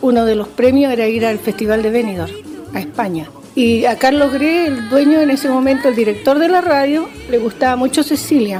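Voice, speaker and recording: Music plays in the background as a woman speaks fairly quickly in a high pitch with lively intonation. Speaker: retired radio announcer. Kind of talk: interview testimony.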